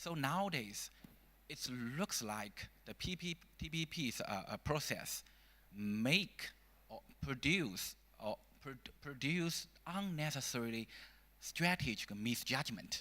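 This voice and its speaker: A man with a Chinese accent speaks at a very slow pace with long, frequent pauses. His fairly high, bright, sharp voice has very wide pitch swings. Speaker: think tank scholar. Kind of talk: panel discussion. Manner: halting.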